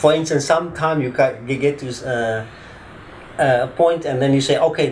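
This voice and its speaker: At a moderate pace, a man with fairly high pitch and ordinary pitch variation speaks amid noticeable background noise and audible room echo. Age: 50s. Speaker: attorney. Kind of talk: interview testimony. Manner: hesitant.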